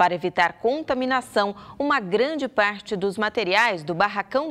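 A woman's intonation is lively as she talks at a moderate speed. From Brazil. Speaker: news anchor. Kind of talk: news reading. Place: studio. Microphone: lapel.

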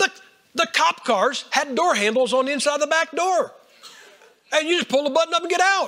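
A man's extremely high-pitched, raised and projected voice with an animated tone, lively intonation, a fairly quick pace, long, frequent pauses and noticeable background noise. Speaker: preacher. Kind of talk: sermon. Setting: church.

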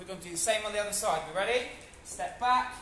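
Speaking in a raised, projected voice, a man with a high pitch is heard amid audible room echo and light background noise. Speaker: fitness instructor. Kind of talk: live online HIIT class instruction, counting reps aloud. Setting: video call. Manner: energetic, encouraging coach calling out counts; casual, chatty and upbeat. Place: gym. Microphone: camera far.

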